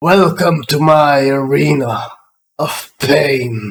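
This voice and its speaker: Using a put-on character voice, a man speaks at a very slow pace and a fairly high pitch. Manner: thundering, menacing.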